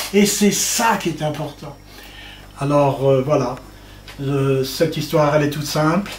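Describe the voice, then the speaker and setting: A man's fairly high pitch at a fairly slow pace, with ordinary pitch variation, long, frequent pauses, audible room echo, and noticeable background noise. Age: 60s. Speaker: author. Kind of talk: public talk. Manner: halting.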